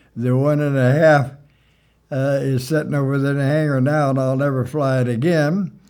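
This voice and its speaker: Music plays behind a man whose medium-pitched voice keeps fairly even intonation. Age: 90s. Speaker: retired airport manager and pilot. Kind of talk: interview reminiscence. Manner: halting, many fillers.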